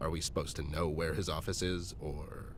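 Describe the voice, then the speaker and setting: Putting on a character voice, a man talks very deep and low at a fairly quick pace. Background noise is clearly audible. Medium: video game. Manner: dry, world-weary.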